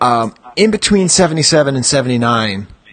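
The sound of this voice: A man's medium-pitched voice, fairly bright with a slightly husky edge, at a fairly quick pace with big pitch swings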